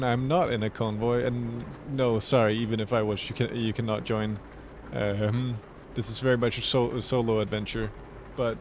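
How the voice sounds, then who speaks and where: At a moderate pace, a man with a Danish accent speaks at a medium pitch. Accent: Danish accent in English, now accepted. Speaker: streamer. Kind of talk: casual gameplay commentary. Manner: casual, chatty.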